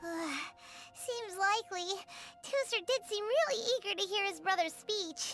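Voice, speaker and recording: In a put-on character voice with an extremely high pitch, the speaker moves at a moderate pace over clear background noise. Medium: video game. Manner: chatty, bright.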